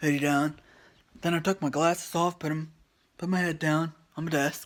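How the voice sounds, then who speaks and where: On a very clean recording with a silent background, a man talks quietly and fairly quickly at a fairly high pitch. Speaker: vlogger. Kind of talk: storytelling vlog. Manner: halting, stumbling over words.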